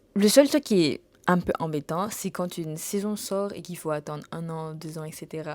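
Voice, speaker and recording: A woman's voice with a very deep, low pitch. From Saint Martin, Caribbean. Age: 20s. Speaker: travel vlogger. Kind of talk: casual Q&A chat to camera. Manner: hesitant, many fillers and repetitions.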